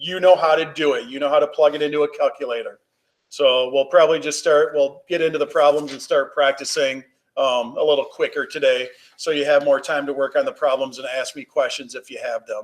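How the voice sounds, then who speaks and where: The speech moves at a fairly quick pace. Its loudness swings widely. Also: man. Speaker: high school physics teacher. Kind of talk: online class lecture. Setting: video call. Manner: fast.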